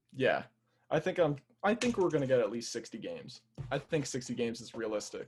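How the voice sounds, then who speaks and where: A man with an American accent speaks at a fairly high pitch. His voice is somewhat breathy and his pace fairly quick. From Central New Jersey. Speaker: fan social media page runner. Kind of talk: casual chat.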